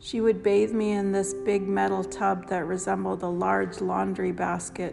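A woman's very deep, low, warm voice with very wide pitch swings, at a fairly slow pace over noticeable background noise. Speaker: grandchild giving a family tribute. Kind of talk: reading aloud a personal written tribute, with a casual spoken intro. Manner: warm, reflective and sentimental; unhurried, with small pauses and fillers.

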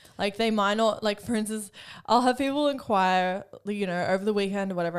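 A woman with an Australian accent at a very fast pace, medium pitch and ordinary pitch variation, on a very clean recording with a silent background. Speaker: podcast co-host. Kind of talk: casual chat.

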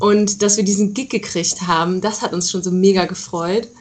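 A woman speaks with fairly even intonation. Noticeable background noise sits behind her. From Rhineland, Germany (Aachen area). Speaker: rock band musician. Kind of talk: interview. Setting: internet call.

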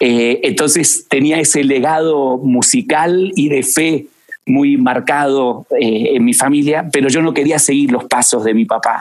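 A man with an ordinary speaking voice talks at a fairly high pitch, with ordinary pitch variation and very even loudness. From Argentina, Buenos Aires. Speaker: music industry executive. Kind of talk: interview conversation.

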